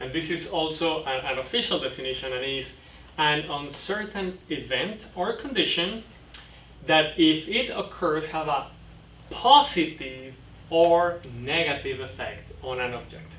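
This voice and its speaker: A man with a Mexican accent at a fairly slow pace, ordinary pitch variation, noticeable background noise and audible room echo. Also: fairly high pitch for a man. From Mexico. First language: Spanish. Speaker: boating safety instructor. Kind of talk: lecture. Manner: halting.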